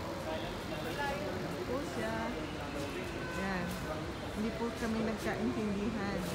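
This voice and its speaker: Loud background noise sits behind this woman's talking. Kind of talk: casual vlog chat. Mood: calm, slightly amused. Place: station. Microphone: phone near.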